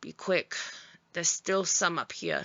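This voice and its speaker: Using a put-on character voice, a woman talks at a moderate pace in a raspy, fairly low pitch. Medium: read story. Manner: cold, commanding.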